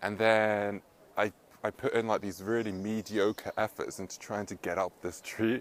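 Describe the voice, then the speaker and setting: A man with a fairly low-pitched voice speaks in a monotone, flat intonation, recorded very cleanly against a silent background. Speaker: self-help vlogger. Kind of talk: casual vlog monologue. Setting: outdoors, up in a tree. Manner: fast.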